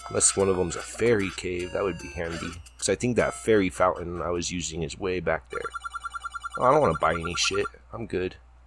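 Over noticeable background noise, a man with a very deep, low-pitched voice talks very fast with ordinary pitch variation. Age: 30s. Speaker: gamer doing an audio-only let's play. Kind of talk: let's play commentary. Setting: home office. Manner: animated.

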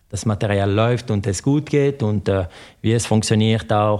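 A man with a French accent speaks at a moderate pace in a very clean recording with a silent background. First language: French (speaking German). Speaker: former pro cyclist. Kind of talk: interview. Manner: halting.

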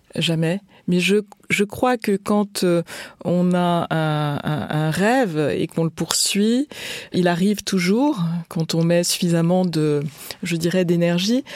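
A woman with a fairly low pitch and ordinary pitch variation speaks at a very slow pace with long, frequent pauses. Her loudness stays very even, and the sound is dry and close with no echo. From France. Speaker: business executive. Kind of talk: interview.

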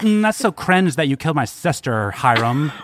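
Doing a put-on character voice, a man whines at a moderate pace in a fairly high pitch with very wide pitch swings. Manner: whiny.

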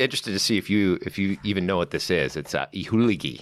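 With an American accent and a bright, sharp tone, a man speaks very fast at a fairly low pitch with ordinary pitch variation. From Southern California. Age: 50s. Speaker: wine author and sommelier. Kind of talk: casual chat.

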